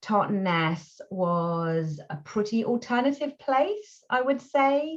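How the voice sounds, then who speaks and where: A woman speaks very slowly with very wide pitch swings and a somewhat breathy voice. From England. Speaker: voice actor. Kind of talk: interview answer. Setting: video call.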